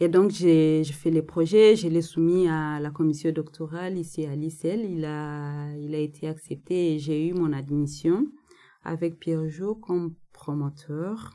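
Very slow and fairly even, a woman's voice sits at a very deep, low pitch with a dark, mellow tone. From DR Congo, North Kivu. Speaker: anthropologist, doctoral graduate. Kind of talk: interview. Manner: halting, many hesitations.

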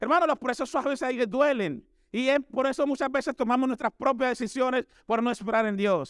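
Extremely high in pitch, a man speaks at a fairly quick pace with ordinary pitch variation and very even loudness. The sound is dry and close with no echo. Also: very clean recording, silent background. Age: 40s. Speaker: missionary preacher. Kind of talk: sermon.

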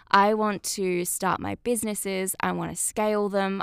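A woman with an Australian accent, medium pitch and fairly even intonation. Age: 20s. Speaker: podcast host. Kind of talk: casual monologue.

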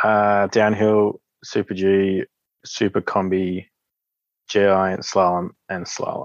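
A man with an Australian accent, fairly low in pitch, very slow and monotone with flat intonation and long, frequent pauses. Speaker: Paralympic sit skier. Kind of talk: interview.

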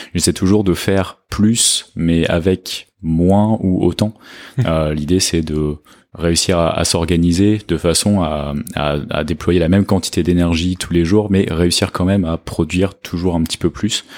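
A man speaks in a very deep, low voice with fairly even intonation. The recording is very clean and the background silent. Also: fairly slow pace. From France. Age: 30s. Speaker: software engineering manager. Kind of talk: casual chat.

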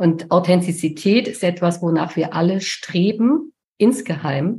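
A woman speaks at a fairly slow pace in a fairly low, somewhat breathy voice with a dark, mellow tone. Her intonation is lively. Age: 50s. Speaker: communication and charisma coach. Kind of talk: casual chat.

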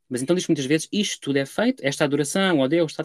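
Recorded very cleanly against a silent background, with dry, close sound and no echo, a man with a European Portuguese accent speaks in a fairly high voice with lively intonation. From Portugal. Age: 20s. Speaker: Egyptologist, doctoral researcher. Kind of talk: academic interview. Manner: hesitant, many fillers.

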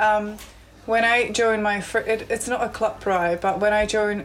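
At a fairly slow pace, a woman talks in an ordinary speaking voice with medium pitch and fairly even intonation. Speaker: recreational cyclist.

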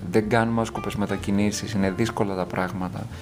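Music plays in the background behind speech at a moderate pace. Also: man. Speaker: podcast host. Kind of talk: solo monologue commentary. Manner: unscripted, with self-corrections.

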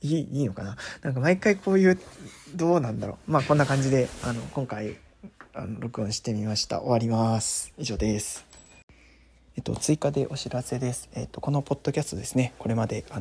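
At a fairly quick pace, a man with a medium pitch speaks somewhat breathily, with lively intonation. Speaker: solo podcaster. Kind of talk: casual monologue. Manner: hesitant, many fillers.

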